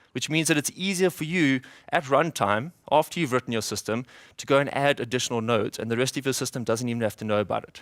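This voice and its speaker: Very fast and at a medium pitch with ordinary pitch variation, a man speaks with a South African accent in a dry, close sound with no echo on a very clean recording with a silent background. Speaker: software developer, conference speaker. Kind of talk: conference talk. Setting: stage with audience. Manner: fast when excited.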